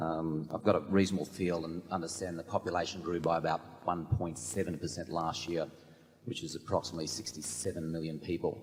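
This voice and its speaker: A man's very deep, low voice in an Australian accent, fairly quick and fairly even in intonation, with noticeable background noise. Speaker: shareholder asking a question. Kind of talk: audience question.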